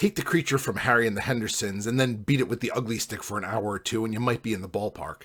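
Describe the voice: What you hear is plain reading aloud.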